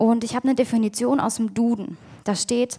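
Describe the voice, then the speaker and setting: A woman speaks at a fairly high pitch and a moderate pace. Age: 20s. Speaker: youth leader giving a sermon. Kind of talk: sermon.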